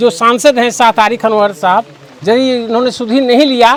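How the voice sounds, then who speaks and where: A man's voice, extremely high in pitch and fairly even in intonation, comes through noticeable background noise. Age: 60s. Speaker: villager. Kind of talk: street interview. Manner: formal.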